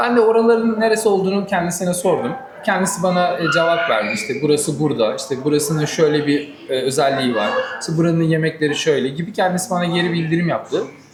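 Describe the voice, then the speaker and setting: Talking at a fairly quick pace, a man uses a high pitch and lively intonation. The room echo is audible, and there is noticeable background noise. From Turkey, Manisa. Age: 30s. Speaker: groom-to-be, automotive worker. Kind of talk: interview. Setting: cafe.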